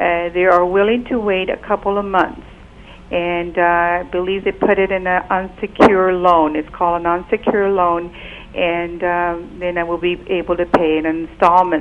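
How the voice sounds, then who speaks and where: A woman's fairly even intonation, fairly low pitch and moderate pace. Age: 60s. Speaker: caller. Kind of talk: call-in question. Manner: halting.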